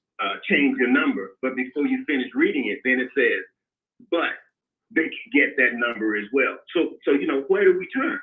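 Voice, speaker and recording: A man talks with a Mississippi accent. His pace is moderate. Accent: US Southern (Mississippi). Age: 60s. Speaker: caller. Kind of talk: call-in complaint. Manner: halting.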